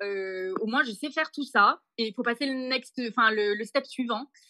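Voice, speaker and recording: A woman's fairly high, bright, sharp voice with ordinary pitch variation and a dry, close sound with no echo. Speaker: backpacker on working holiday, olive farm worker. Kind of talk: podcast interview testimony.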